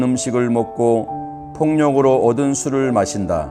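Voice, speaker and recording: With music in the background, a man speaks at a very slow pace and medium pitch. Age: old. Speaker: grandfather reading scripture. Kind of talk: scripture reading for children.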